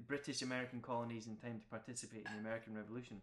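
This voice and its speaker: A man speaks with fairly even intonation. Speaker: podcast host. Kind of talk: casual chat.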